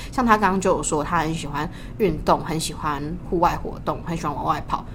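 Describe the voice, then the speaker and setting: The pace is very fast, and the woman's pitch is fairly low. There is audible room echo. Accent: Taiwanese. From Taiwan, Tainan. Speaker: podcast co-host, university student. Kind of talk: casual chat. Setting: university library study room.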